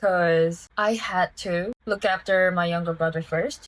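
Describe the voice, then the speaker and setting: A woman's voice with a Korean accent. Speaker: vlogger. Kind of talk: casual monologue to camera. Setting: at home.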